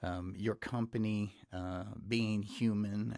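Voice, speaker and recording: In a very clean recording with a silent background, a man with a Texas accent speaks at a fairly low pitch. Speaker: podcast host. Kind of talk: interview podcast. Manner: hesitant, many fillers.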